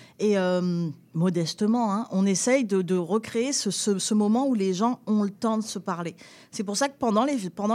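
A woman speaks in a plain, everyday voice, fairly high in pitch with ordinary pitch variation, at a moderate pace. The recording is very clean, with a silent background. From southern France, near Nice. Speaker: festival founder and director. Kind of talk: radio interview.

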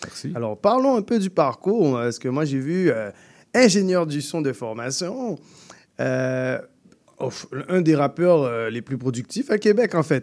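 The speaker goes at a fairly slow pace with long, frequent pauses and very wide pitch swings. The recording is very clean, with a silent background. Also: man, fairly high pitch for a man. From Guadeloupe. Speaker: radio host. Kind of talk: radio show hosting and interviews. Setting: radio studio. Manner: enthusiastic.

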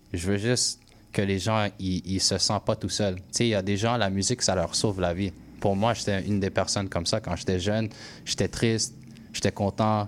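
This man has an English accent and a fairly low pitch, talking at a moderate pace in a monotone, flat intonation. His loudness stays very even on a very clean recording with a silent background. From Quebec, anglophone household. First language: English (speaking French). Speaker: musician, rapper. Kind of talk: radio interview. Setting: radio studio. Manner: halting, many repetitions.

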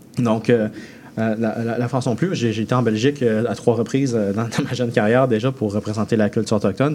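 Noticeable background noise behind a man talking at a fairly quick pace. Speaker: chef. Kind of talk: radio interview. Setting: radio studio.

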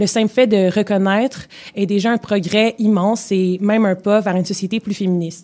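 Dark and mellow, a woman's voice sits at a medium pitch. Her intonation stays fairly even. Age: 20s. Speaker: radio columnist. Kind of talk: scripted column reading. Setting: radio studio.

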